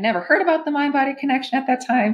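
With an American accent, a woman speaks in a somewhat breathy voice. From Minnesota. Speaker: holistic therapist. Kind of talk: interview conversation.

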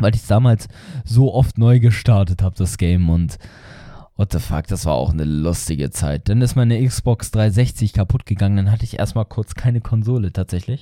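Dark, mellow voice with lively intonation at a moderate pace, dry and close with no echo, on a very clean recording with a silent background. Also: man, fairly low pitch for a man. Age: young. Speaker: gaming podcaster. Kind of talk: casual monologue. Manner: animated.

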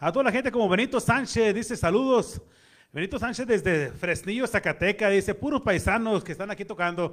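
On a very clean recording with a silent background, a man speaks fairly quickly at a high pitch with ordinary pitch variation. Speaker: radio host. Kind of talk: casual chat.

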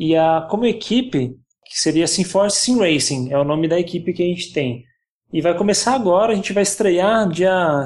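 A man talks in a high pitch against a quiet background. His loudness stays very even. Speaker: YouTuber on virtual racing. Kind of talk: casual podcast chat.

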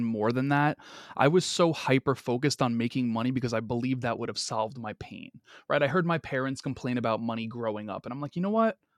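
An unremarkable speaking voice, a man's at medium pitch with ordinary pitch variation, sounds dry and close with no echo in a very clean recording with a silent background. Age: 30s. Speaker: podcast host. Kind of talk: casual interview chat.

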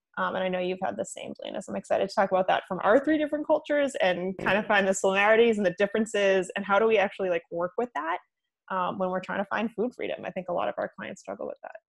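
Talking at a very fast pace, a woman with an American accent has medium pitch, lively intonation and vocal fry in a dry, close sound with no echo. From Italian American, US. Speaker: podcast co-host, nutritionist. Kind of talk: casual interview chat.

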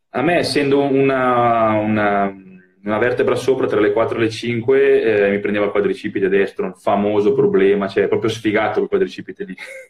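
A man speaks fairly quickly against noticeable background noise. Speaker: former pro cyclist and cycling coach. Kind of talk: casual chat. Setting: Instagram live video call. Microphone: phone with Bluetooth earphones.

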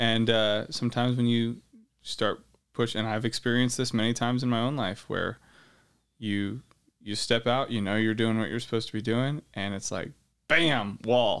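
In an unremarkable speaking voice, a man with an American accent speaks at a medium pitch and moderate pace, with fairly even intonation. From Ukraine (American missionary kid), later Idaho. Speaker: state politician and Marine veteran. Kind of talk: interview testimony.

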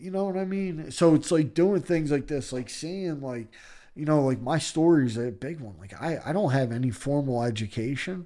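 A man with a Philadelphia accent, fairly high-pitched for a man, with a dark, mellow tone, lively intonation, big swings in loudness and a moderate pace. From Philadelphia, Kensington. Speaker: recovering addict sharing his story. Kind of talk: podcast interview, personal testimony.

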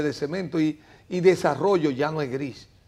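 A normal speaking voice with ordinary pitch variation. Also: man. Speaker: mayoral candidate, biologist. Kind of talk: interview.

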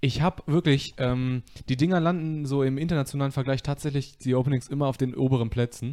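A dark, mellow voice rushes along at a very fast pace with fairly even intonation. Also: man, fairly high pitch for a man, very even loudness. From Westphalia, Germany (Soest). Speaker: podcast host. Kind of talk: casual chat. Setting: living room, live stream.

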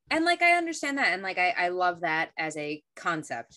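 Bright and sharp in tone, a woman with an American accent speaks at a fairly low pitch. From US. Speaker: podcast co-host. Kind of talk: casual chat.

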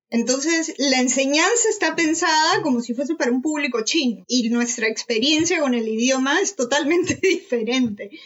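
With lively intonation and very even loudness, a woman speaks in a high pitch at a moderate pace with hardly any pauses. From Peru. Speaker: doctoral student. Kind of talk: casual chat.

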